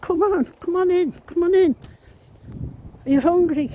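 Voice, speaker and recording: In a put-on character voice with an Irish accent, the speaker talks at an extremely high pitch and very even loudness. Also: moderate pace. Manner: warm, welcoming.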